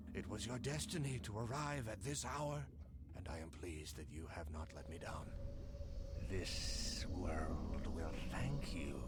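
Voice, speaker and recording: Over loud background noise, a man in a put-on character voice speaks at a fairly slow pace with a very deep, low pitch. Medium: machinima. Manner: measured, formal, archaic.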